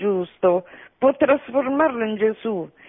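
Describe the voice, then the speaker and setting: Lively in intonation, a woman talks at a fairly slow pace in a fairly high pitch. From Sicily. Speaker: radio caller. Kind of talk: reading aloud. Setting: phone call.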